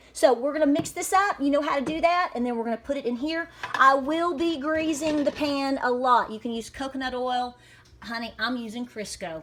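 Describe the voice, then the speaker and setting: A woman with a Southern Appalachian accent speaks at a fairly quick pace in a high pitch and an upbeat tone, with ordinary pitch variation. Noticeable background noise runs behind her. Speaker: homesteader, cooking video host. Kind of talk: casual cooking demonstration to camera. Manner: upbeat, chatty.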